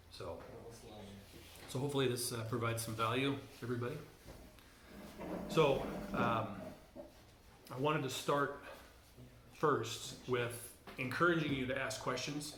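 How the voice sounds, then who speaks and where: A man speaks at a medium pitch with fairly even intonation, leaving long, frequent pauses. Noticeable background noise and audible room echo surround him. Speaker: church teacher. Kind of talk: lecture. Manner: fast; hesitant, many fillers.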